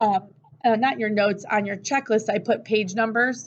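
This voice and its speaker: Moderately paced, a woman with an American accent speaks at a fairly high pitch with ordinary pitch variation. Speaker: teacher. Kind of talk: lecture. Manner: loud; casual.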